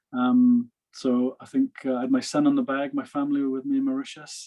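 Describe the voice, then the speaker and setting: A man is speaking. He talks with a Welsh accent. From Wales. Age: 50s. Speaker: professional golfer. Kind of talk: interview.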